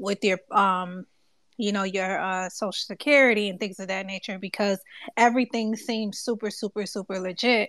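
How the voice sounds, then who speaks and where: An unremarkable speaking voice from a woman, fairly high in pitch, fairly quick and fairly even in intonation, dry and close with no echo on a very clean recording with a silent background. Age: 20s. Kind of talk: casual chat. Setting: Twitter Space audio room.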